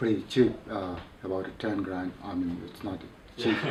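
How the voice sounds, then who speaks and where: A man talks at a moderate pace with fairly even intonation. Audible room echo and noticeable background noise are present. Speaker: mountaineer. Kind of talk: interview. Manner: halting.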